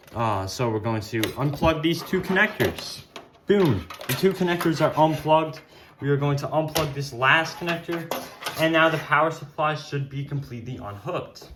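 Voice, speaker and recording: Through noticeable background noise, a man talks at a moderate pace with ordinary pitch variation. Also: fairly high pitch for a man. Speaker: tech YouTuber. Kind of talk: tutorial. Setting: at home. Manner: loud; casual with fillers.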